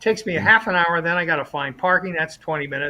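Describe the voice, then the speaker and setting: Bright and sharp in tone, a man's high voice moves at a very fast pace. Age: 70s. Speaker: musician, regular show participant. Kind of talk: casual chat.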